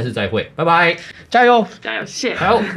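With vocal fry and very wide pitch swings, a man talks at a very fast pace. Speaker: sports show host. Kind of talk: hosted sports talk show. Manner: animated.

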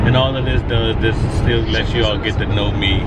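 His voice has a dry sound with no echo, while loud background noise fills the space around this man. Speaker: vlogger. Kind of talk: casual vlog chat. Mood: reflective, determined. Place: car. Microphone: phone near.

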